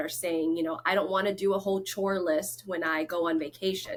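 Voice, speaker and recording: Someone with a Lao accent speaks at a moderate pace with fairly even intonation. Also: woman. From Florida and North Carolina, US. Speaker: real estate agent. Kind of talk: interview.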